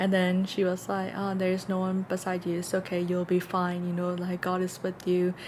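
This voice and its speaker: A woman with a non-native accent speaks at a moderate pace. Her intonation is monotone and flat. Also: medium pitch for a woman, hardly any pauses. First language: not English. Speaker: podcast co-host. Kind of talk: casual chat.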